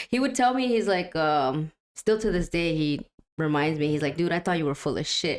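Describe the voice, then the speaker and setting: A woman with a Spanish accent and a fairly low pitch speaks with lively intonation. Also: moderate pace. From US Midwest, Waukegan, Illinois. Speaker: musician. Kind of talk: interview. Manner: casual, many fillers.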